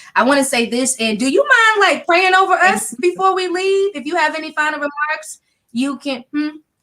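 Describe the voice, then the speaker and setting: The voice is raised and projected, with a bright, sharp tone, lively intonation and a moderate pace. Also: woman, high pitch for a woman. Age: 30s. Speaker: talk show host. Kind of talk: live interview hosting. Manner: casual.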